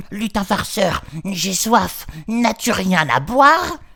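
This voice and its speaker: A man's put-on character voice, raised and projected, high-pitched and very slow. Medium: read story. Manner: gloating.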